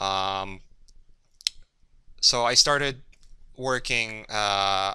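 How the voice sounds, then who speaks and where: A man speaks with a Polish accent in a bright, sharp tone. The recording is very clean, with a silent background. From Poland, Gdynia. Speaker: concept artist. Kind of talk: workshop lecture. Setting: classroom with audience. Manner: halting, many fillers and repeats.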